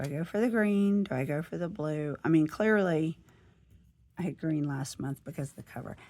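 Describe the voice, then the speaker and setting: The voice has a Southern US accent and a dark, mellow tone. Pitch varies in an ordinary way at a moderate pace. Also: woman, very deep, low pitch for a woman. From US South. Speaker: planner and lifestyle vlogger. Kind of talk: casual chat. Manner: chatty.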